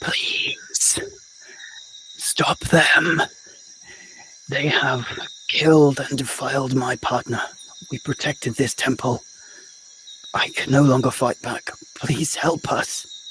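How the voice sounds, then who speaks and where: A hissing, put-on character voice at a fairly slow pace, with long, frequent pauses and clear background noise. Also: man, fairly high pitch for a man. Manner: pleading, anguished.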